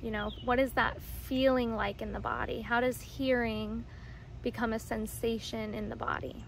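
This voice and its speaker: A woman talks in a soothing, gentle tone. The sound is dry with no echo, over light background noise. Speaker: somatic practitioner and video creator. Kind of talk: guided meditation. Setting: outdoors. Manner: slow, soothing, gentle and calm, with pauses. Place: garden. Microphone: phone near.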